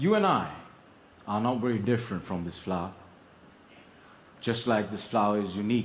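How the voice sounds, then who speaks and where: A man with a fairly low voice talks at a fairly quick pace, his intonation fairly even. He leaves long, frequent pauses. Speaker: public speaking champion. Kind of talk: competition speech on stage to an audience. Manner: expressive, motivational, storytelling.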